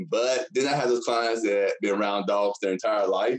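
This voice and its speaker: With a Texan accent, a man is talking. He keeps a moderate pace. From Texas. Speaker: dog trainer and Air Force veteran. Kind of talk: casual interview chat.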